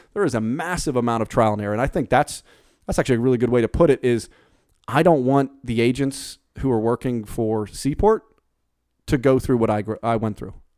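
In a dry, close sound with no echo, a man with an American accent talks at a very fast pace, medium in pitch with ordinary pitch variation. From Pittsburgh, Pennsylvania. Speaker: real estate broker. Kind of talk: casual interview. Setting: podcast studio. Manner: hesitant with fillers.

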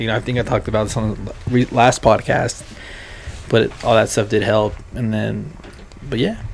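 Over noticeable background noise, a man with a medium-pitched voice speaks at a moderate pace in a flat, monotone delivery. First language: Spanish. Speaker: podcast co-host. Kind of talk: casual banter.

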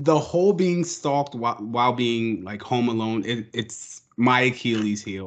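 At a fairly slow pace, a man talks in an unremarkable speaking voice at medium pitch. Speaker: podcast co-host. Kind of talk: casual interview chat.

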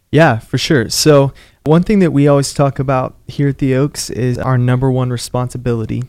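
A man's unremarkable speaking voice, medium in pitch, at a moderate pace with fairly even intonation. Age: 20s. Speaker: pastor. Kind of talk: interview. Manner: casual, conversational.

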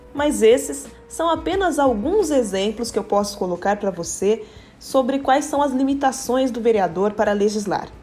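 A woman at a moderate pace and fairly high pitch, lively in intonation, with noticeable background noise. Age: 20s. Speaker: city councillor and lawyer. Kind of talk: explanatory talk.

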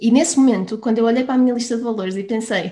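There's a somewhat breathy quality to this voice. The woman's pitch sits fairly high. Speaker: business coach. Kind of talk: interview.

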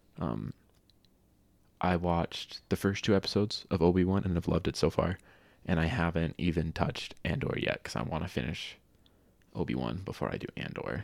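In a very clean recording with a silent background, a man with a very deep, low pitch and vocal fry talks at a fairly quick pace with lively intonation and long, frequent pauses. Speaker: gaming podcast co-host. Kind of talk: casual chat. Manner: animated.

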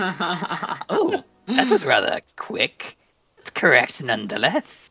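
A put-on character voice with fairly high pitch at a very slow pace. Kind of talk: fantasy villain voice. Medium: actual play. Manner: grandiose, formal.

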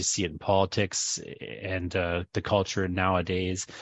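Here is a man with a Canadian accent. His pitch is very deep and low. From Northern Ontario. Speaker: podcast host and university instructor. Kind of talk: interview in a class. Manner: halting, many fillers.

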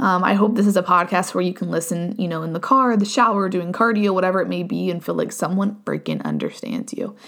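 Very fast and with hardly any pauses, a woman talks in a medium pitch with ordinary pitch variation. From US Midwest, southeastern Ohio. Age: 20s. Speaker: podcast host. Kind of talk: casual solo monologue. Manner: casual, filler-heavy.

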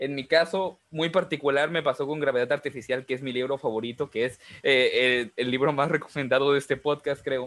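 A man with a normal speaking voice talks at a fairly quick pace and fairly high pitch, with fairly even intonation and hardly any pauses. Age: 20s. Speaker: podcast host and writer. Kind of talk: casual chat.

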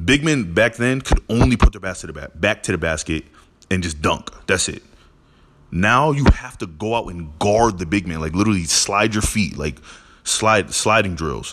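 With an animated tone and lively intonation, a man speaks at a moderate pace. His pitch is fairly low, and his loudness swings a lot. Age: 20s. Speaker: sports podcaster. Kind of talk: solo opinion monologue.

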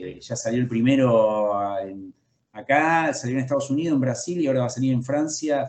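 A man speaks at a moderate pace in a medium pitch. He has a normal speaking voice with ordinary pitch variation. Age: 40s. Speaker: comic book author and illustrator. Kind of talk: interview.

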